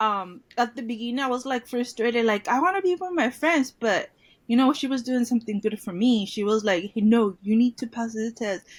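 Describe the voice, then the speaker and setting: A woman with a Mexican accent at a fairly high pitch, fairly quick with hardly any pauses, showing ordinary pitch variation. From Mexico, Tijuana. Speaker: former bilingual student. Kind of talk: interview.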